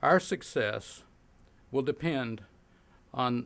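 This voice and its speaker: With an American accent, a man speaks in a normal speaking voice at medium pitch, with ordinary pitch variation. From Oklahoma. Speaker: physicist and science policy professor. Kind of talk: keynote speech.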